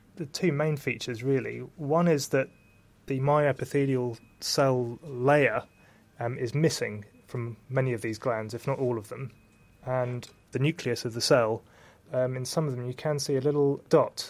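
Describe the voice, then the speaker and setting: At a moderate pace, a man with a medium-pitched voice speaks in fairly even intonation, leaving long, frequent pauses. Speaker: histopathologist. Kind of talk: interview explaining medical work.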